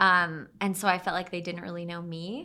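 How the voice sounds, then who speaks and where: A medium-pitched woman with a bright, sharp tone and an American accent. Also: very clean recording, silent background. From Utah (Draper). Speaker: singer-songwriter. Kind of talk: casual interview chat.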